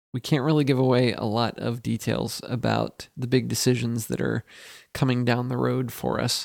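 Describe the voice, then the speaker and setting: A man speaks at a moderate pace, recorded with a dry, close sound and no echo. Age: 30s. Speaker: podcast co-host. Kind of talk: casual chat.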